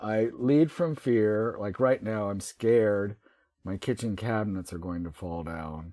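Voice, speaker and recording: An unremarkable speaking voice comes from a man with an American accent at a fairly low pitch. He talks fairly slowly with lively intonation and big swings in loudness. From US South. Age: 60s. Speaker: writer. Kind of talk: interview.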